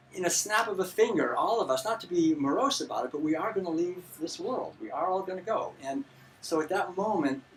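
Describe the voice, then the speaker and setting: Here a man speaks in a high pitch with lively intonation. Noticeable background noise sits behind him. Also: fairly quick pace. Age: 60s. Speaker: vegan author and lecturer. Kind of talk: lecture. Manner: halting.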